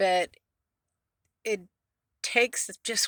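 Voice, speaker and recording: On a very clean recording with a silent background, a woman's bright, sharp voice sounds dry and close with no echo, her intonation fairly even. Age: 60s. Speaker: van-life vlogger. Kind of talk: casual vlog monologue. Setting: inside a van. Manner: rambling, many fillers and restarts.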